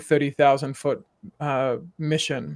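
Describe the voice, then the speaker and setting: A man speaks with a South African accent. The recording is very clean, with a silent background. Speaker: executive coach. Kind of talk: podcast interview.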